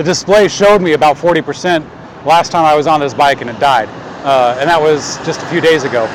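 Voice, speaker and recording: A man talks at a very fast pace with a fairly high pitch. Noticeable background noise runs underneath. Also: ordinary pitch variation. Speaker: bike shop employee / e-bike reviewer. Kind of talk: live ride-along vlog commentary. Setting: outdoors, riding a bike. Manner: hesitant, many fillers.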